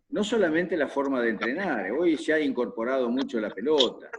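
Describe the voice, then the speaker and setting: Speaking with a Rioplatense accent, a man with a fairly high pitch moves through very wide pitch swings at a moderate pace. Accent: Argentine Spanish (rioplatense, voseo). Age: 70s. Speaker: football coach. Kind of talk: interview Q&A on football tactics.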